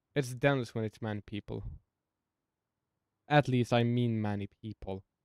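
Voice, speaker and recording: This man has a non-native accent and a medium pitch, and he keeps a moderate pace with fairly even intonation. The sound is dry and close, with no echo. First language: not English. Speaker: gaming video creator. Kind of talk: gameplay commentary. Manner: halting.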